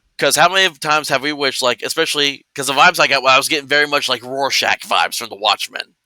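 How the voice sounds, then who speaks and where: A man speaks loud and very fast with a fairly high pitch, fairly even intonation and a bright, sharp tone. The sound is dry and close with no echo, on a very clean recording with a silent background. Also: hardly any pauses. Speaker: tabletop RPG streamer. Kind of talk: casual chat.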